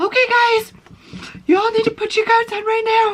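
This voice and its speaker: The put-on character voice is extremely high-pitched and flat, monotone in delivery, at a moderate pace. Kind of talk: motherly. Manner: sweet, firmly instructing.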